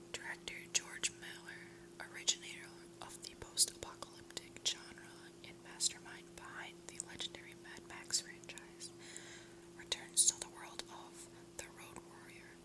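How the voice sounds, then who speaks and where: Whispering at a moderate pace, a woman shows big swings in loudness. Noticeable background noise is present. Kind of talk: ASMR film review. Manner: whispered, soft-spoken.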